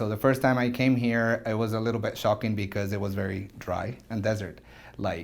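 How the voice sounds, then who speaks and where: A man speaks with a Spanish accent at a fairly low pitch. His pace is fairly quick and his intonation fairly even. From Venezuela, Caracas. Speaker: orthodontist. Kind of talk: interview testimony. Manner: halting.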